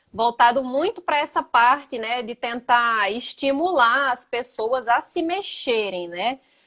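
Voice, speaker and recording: In a southern Brazilian accent, a woman speaks fairly slowly at a high pitch with very wide pitch swings, recorded very cleanly against a silent background. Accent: gaúcho (southern Brazilian). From Brazil, Northeast (Rio Grande do Norte). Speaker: physical education teacher. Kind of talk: casual interview chat. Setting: Instagram live video.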